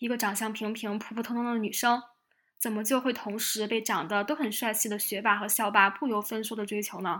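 Bright, sharp in tone, the voice moves at a fairly quick pace with fairly even intonation. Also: woman, fairly high pitch for a woman. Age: 20s. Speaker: podcast host. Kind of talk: reflective solo monologue.

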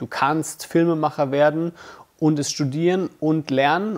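Moderate pace and an ordinary speaking voice from a man. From Germany, Bamberg (Franconia), Russian-German resettler family. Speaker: filmmaker, YouTuber. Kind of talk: casual vlog monologue. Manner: casual, many fillers.

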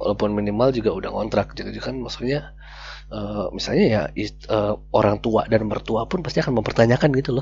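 Over noticeable background noise, a man speaks quietly at a fairly quick pace. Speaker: podcast co-host. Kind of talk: casual chat. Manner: speaking quietly.

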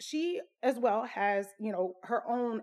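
In a Louisiana accent, a woman speaks with a fairly high pitch. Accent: Southern US (Louisiana). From Southwest Louisiana, US South. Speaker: podcaster, army veteran. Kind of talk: casual personal storytelling.

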